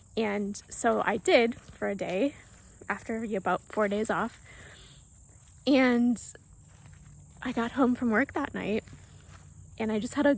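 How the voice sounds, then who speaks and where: Soft-spoken and fairly high-pitched, a woman talks at a fairly slow pace with ordinary pitch variation and long, frequent pauses. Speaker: spiritual vlogger. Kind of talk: casual monologue.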